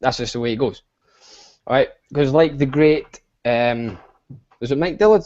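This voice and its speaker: Speaking fairly quickly with a Scottish accent, a man uses a fairly high pitch and ordinary pitch variation. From Scotland. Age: 20s. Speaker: online business coach. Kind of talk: live stream chat. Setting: video call. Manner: fast; animated.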